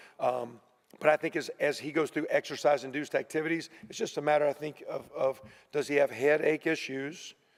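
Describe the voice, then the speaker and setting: Fairly quick delivery with fairly even intonation. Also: man, fairly high pitch for a man. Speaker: college football head coach. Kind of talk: press conference. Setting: media room. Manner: fast.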